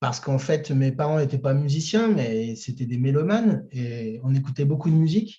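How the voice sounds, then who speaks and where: Hardly pausing, a man speaks somewhat breathily at a fairly high pitch with a dark, mellow tone. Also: moderate pace. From France, Chartres. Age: 30s. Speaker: singer-songwriter. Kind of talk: interview. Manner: hesitant, many fillers.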